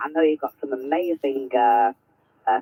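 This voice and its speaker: A man with a plain, everyday voice, a fairly quick pace and ordinary pitch variation. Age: 50s. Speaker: amateur radio operator. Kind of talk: radio contact conversation. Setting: amateur radio transmission.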